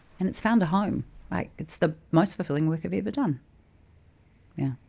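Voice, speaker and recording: A woman with a New Zealand accent speaks at a moderate pace in a fairly low pitch, her dark, mellow tone carrying vocal fry and lively intonation. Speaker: podcast host, former TV presenter. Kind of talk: casual interview chat.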